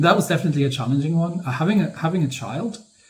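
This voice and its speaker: Amid audible room echo, a man talks at a very fast pace with ordinary pitch variation. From northern Germany, near Hanover. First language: German. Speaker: gaming and history YouTuber. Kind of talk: Q&A monologue. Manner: halting, many fillers.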